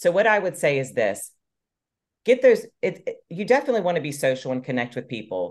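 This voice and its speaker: Vocal fry runs through this fairly quick delivery, which has very wide pitch swings. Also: woman, fairly low pitch for a woman. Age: 40s. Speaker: fitness coach. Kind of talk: casual chat.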